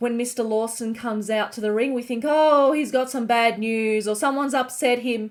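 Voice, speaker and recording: A woman talks with an Australian accent on a very clean recording with a silent background. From Australia, Melbourne. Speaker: online show recap host. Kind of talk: show recap narration.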